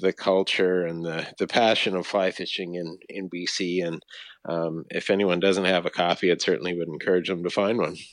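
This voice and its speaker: A man with a western Canadian accent speaks at a moderate pace in a very deep, low pitch over a quiet background. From Canada, British Columbia (Vancouver, Fraser Valley). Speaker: conservation organization CEO. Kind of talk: interview. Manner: halting, many fillers.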